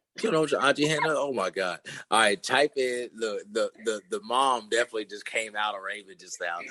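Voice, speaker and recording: Loud and bright with a sharp tone, a medium-pitched man talks at a fairly quick pace with lively intonation in a dry, close sound with no echo. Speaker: podcast host and fitness coach. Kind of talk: casual podcast chat. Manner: halting, many fillers.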